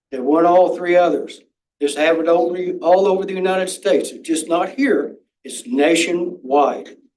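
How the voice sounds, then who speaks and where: A man talks at a moderate pace in a high pitch, his loudness swinging a lot. Room echo is audible. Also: ordinary pitch variation. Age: 70s. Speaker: public commenter at school board meeting. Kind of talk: public comment.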